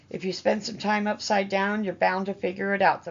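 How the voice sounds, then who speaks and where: Putting on a raspy character voice, a woman talks at medium pitch and a fairly quick pace in a monotone, flat intonation. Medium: read story. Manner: wry, cackling.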